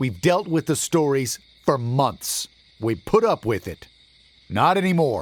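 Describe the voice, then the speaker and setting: Putting on a booming character voice, a man speaks at a moderate pace with very wide pitch swings. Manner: angry, stern, through gritted teeth.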